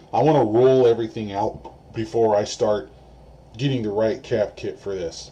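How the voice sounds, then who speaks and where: This man's voice has a dark, mellow tone and a medium pitch. He speaks at a moderate pace with ordinary pitch variation. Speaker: electronics repair youtuber. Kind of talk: tutorial. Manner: soft-spoken. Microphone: camera mic distorts when loud.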